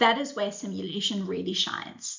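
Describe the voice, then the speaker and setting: A woman speaks at a fairly quick pace, her voice somewhat breathy, with audible echo from the room. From South Africa. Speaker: supply chain simulation product manager. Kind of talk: conference presentation.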